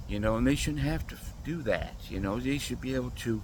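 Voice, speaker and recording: The voice has vocal fry, and audible room echo surrounds it. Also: man. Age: 60s. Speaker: vlogger. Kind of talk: casual monologue.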